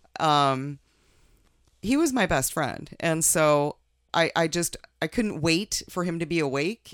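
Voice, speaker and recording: A woman with an American accent, fairly low in pitch, at a very slow pace with long, frequent pauses and ordinary pitch variation, in a very clean recording with a silent background. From Minnesota and Oregon. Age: 50s. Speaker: mother of host, amateur martial artist. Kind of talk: personal interview, life story. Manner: halting, repeats words.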